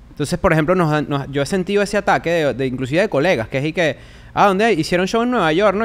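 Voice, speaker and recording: In a Venezuelan accent, a man speaks at a very fast pace. His pitch is high and his intonation lively. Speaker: comedian and podcaster; comedian, podcaster. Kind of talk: casual chat. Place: studio. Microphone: studio mic.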